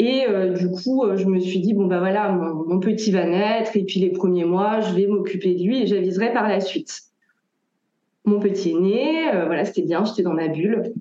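Audible room echo surrounds a woman speaking at a medium pitch and moderate pace, her loudness very even and her pitch varying in an ordinary way. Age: 30s. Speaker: tarot reader. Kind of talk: interview.

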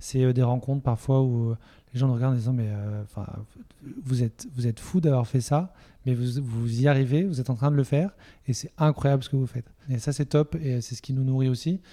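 On a very clean recording with a silent background, a man speaks at a fairly quick pace and medium pitch, his tone dark and mellow and his intonation fairly even. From Toulouse area, southwestern France. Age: 30s. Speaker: entrepreneur. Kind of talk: interview conversation.

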